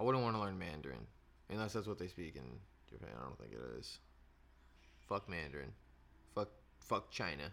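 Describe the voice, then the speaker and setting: Speaking at a fairly quick pace yet with long, frequent pauses, a man with a very deep, low pitch and vocal fry shows very wide pitch swings and big swings in loudness. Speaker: podcast co-host. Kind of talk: casual chat.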